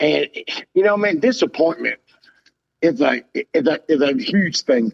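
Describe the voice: A man's fairly slow speech with vocal fry. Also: fairly high pitch for a man, lively intonation.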